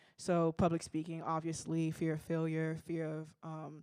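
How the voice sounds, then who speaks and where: A woman with a dark, mellow tone and a fairly low pitch speaks at a moderate pace, the sound dry and close with no echo in a very clean recording with a silent background. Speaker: audience member. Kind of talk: audience comment. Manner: halting.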